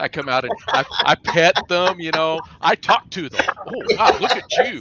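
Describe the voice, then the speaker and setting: This man has a high pitch and lively intonation. The sound is dry and close with no echo, though background noise is noticeable. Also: moderate pace. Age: 60s. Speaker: podcast co-host. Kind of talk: casual chat.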